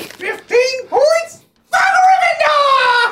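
Shouting in a put-on character voice at an extremely high pitch. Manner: stern, authoritative.

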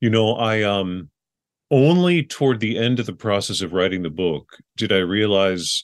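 A man's normal speaking voice, fairly low in pitch, with an American accent, lively intonation and a quiet background. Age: 40s. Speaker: memoir writer and teacher. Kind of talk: interview.

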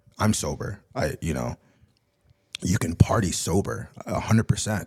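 A man's voice with vocal fry and lively intonation, in a very clean recording with a silent background. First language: Spanish. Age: 30s. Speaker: music producer and DJ. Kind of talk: casual chat.

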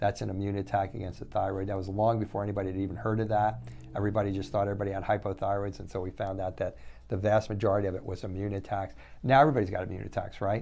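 Very fast speech in a dark, mellow tone, with audible room echo. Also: man, fairly low pitch for a man, ordinary pitch variation. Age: 60s. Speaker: functional medicine doctor. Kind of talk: monologue lecture. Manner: repetitive, halting restarts.

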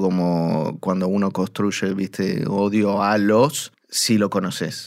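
In a very clean recording with a silent background, a man speaks at a very slow pace with fairly low pitch. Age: 40s. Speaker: monster expert. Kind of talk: interview.

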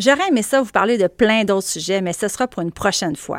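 Ordinary pitch variation in a very clean recording against a silent background, the sound dry and close with no echo. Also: woman. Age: 40s. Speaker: journalist and podcast host. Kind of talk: solo audio column, conversational monologue. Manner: casual, chatty.

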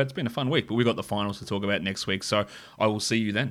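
A man with an Australian accent speaks at a medium pitch. His intonation is fairly even, and the recording is very clean, with a silent background. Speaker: AFL podcast co-host. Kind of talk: casual sports discussion.

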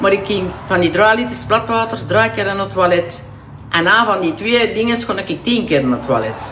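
Against noticeable background noise and audible room echo, a woman speaks at a moderate pace with lively intonation. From Flanders, Bornem area (Antwerp province). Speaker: weight-loss client. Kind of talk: casual chat.

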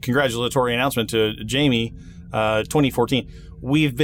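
This clip features plain reading aloud, with pitch varying in an ordinary way.

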